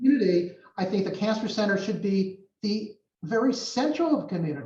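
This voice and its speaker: With an American accent, a man talks at a fairly quick pace in a high pitch, his pitch variation ordinary. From New York. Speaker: cancer center director. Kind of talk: interview answer.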